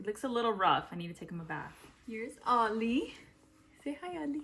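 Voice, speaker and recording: A woman speaks at a moderate pace with lively intonation while music plays in the background. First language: Spanish. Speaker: lifestyle vlogger. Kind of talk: casual vlog Q&A. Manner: casual, filler-heavy.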